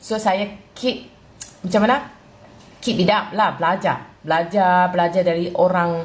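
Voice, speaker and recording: A woman with a northern Malaysian accent speaks at a medium pitch, with ordinary pitch variation and very even loudness. Her pace is fairly slow, broken by long, frequent pauses. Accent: northern Malaysian (Kedah-like) Malay. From southern Thailand. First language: Thai (speaking Malay). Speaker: Thai Malay speaker interviewed. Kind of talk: casual chat answering viewer question. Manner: halting with repetitions.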